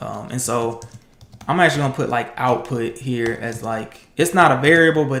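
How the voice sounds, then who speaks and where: Audible room echo surrounds a man talking at a fairly quick pace. His intonation stays fairly even. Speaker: programmer streaming coding challenges. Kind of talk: live coding tutorial. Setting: livestream. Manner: casual, with fillers.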